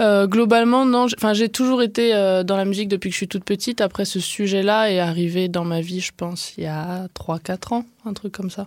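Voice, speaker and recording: A woman with a medium pitch keeps her intonation fairly even and her pace moderate. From southwest France (Gers). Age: 20s. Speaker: artist and collective co-founder. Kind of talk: interview. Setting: radio studio.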